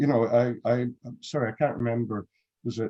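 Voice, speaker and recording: Here a man speaks in a dark, mellow tone at a medium pitch and a moderate pace. His pitch varies in an ordinary way, and the sound is dry and close with no echo. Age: 60s. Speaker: photographer. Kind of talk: panel discussion.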